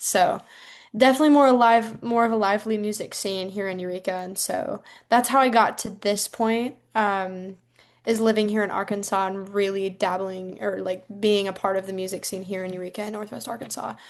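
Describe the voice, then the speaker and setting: With an American accent and an unremarkable speaking voice, a woman talks at a medium pitch and a fairly quick pace, her loudness swinging widely against a quiet background. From US Midwest, rural Iowa. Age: 19. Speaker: singer-songwriter. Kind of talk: casual interview.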